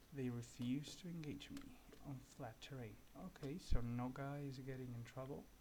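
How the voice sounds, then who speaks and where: This man has a dark, mellow tone at a medium pitch. He speaks at a fairly slow pace. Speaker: gaming youtuber. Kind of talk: gameplay tutorial commentary. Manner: soft-spoken; halting.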